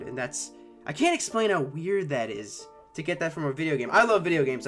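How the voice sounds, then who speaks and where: Music plays in the background while a man speaks fairly quickly. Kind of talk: personal reflective talk to camera. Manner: hesitant, stuttering, pausing.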